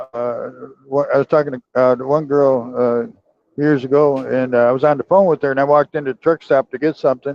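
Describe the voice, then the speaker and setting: At a fairly quick pace, a man with a fairly high pitch and fairly even intonation speaks in a plain, everyday voice. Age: 60s. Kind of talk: casual chat.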